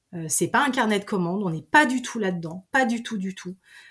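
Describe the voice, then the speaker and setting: A very clean recording with a silent background, a somewhat breathy voice and ordinary pitch variation. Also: woman. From Savoie, French Alps. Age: 40s. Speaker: deputy director of a mountain tourism network. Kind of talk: interview. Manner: halting, many repetitions and fillers.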